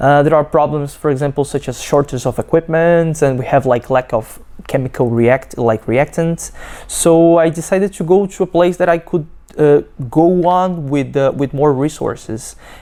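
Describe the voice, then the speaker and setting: A woman speaks in a very deep, low pitch with a dark, mellow tone. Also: ordinary pitch variation, moderate pace. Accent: Brazilian Portuguese. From Brazil. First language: Portuguese. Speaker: PhD student. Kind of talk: testimony. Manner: halting, many fillers and restarts.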